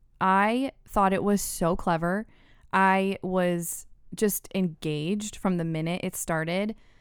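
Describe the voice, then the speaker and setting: Speaking at a very slow pace, a woman holds a medium pitch with fairly even intonation. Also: very clean recording, silent background. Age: 30s. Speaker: podcast guest, mother of two. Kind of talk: casual chat.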